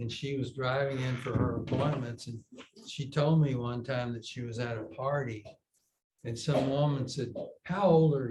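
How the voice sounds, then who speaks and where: Fairly even intonation with audible room echo. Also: man, medium pitch for a man. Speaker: yoga teacher. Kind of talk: casual chat. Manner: slow.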